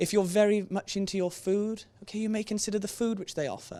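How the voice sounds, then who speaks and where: Talking at a very fast pace with a Welsh accent. The recording is very clean, with a silent background. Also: man. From Wales. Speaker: careers presenter, trainee barrister. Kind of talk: presentation to students. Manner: conversational, frequent 'okay?' tag.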